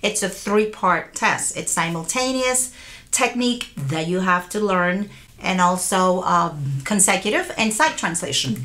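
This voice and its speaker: This woman has an unremarkable speaking voice at a medium pitch. She talks at a fairly slow pace with lively intonation. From Puerto Rico and US mainland. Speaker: court interpreter. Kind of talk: interview.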